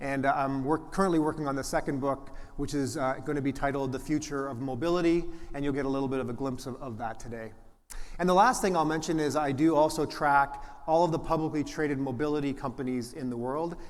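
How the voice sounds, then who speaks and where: In a room with audible echo, a man with a fairly high pitch speaks very fast with fairly even intonation. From Canada, Toronto. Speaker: venture capitalist, conference presenter. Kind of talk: conference presentation. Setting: stage with audience. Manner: frequent fillers and restarts.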